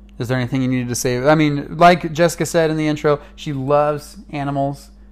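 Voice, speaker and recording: Fairly quick and fairly even in intonation, a man speaks with an American accent. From California. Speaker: missionary and podcast co-host. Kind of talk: casual chat. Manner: loud.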